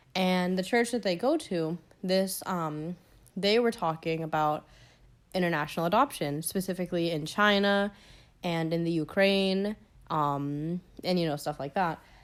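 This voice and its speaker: An unremarkable speaking voice in an American accent, moderate pace and ordinary pitch variation, on a very clean recording with a silent background. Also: woman. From US South, Georgia. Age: young. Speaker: student podcast host. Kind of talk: personal storytelling podcast. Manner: casual, filler-heavy.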